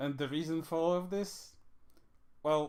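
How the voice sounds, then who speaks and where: At a moderate pace, the speaker talks with a strong non-native accent. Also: man. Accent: thick non-native English. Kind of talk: casual podcast discussion.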